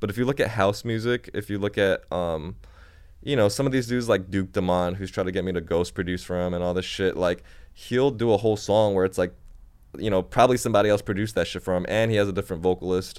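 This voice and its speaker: At a very fast pace, a man speaks in a fairly low pitch with ordinary variation, in a very clean recording with a silent background. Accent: American. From China and Japan, then US Midwest. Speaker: music producer and app developer. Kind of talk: casual chat. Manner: casual, slangy, laid-back.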